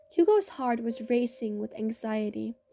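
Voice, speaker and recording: A woman speaking at a moderate pace. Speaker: amateur story writer and reader. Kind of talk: read fiction story.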